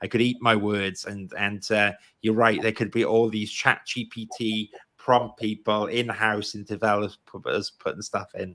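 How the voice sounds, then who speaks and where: With a Welsh accent, a man speaks at a fairly low pitch and a fairly slow pace, his intonation fairly even. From Wales. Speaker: podcast host. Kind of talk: live stream interview.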